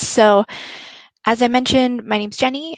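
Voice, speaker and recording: The speaker has an American accent and a moderate pace, with a dry, close sound lacking any echo. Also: woman. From United States. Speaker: recruiter. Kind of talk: presentation.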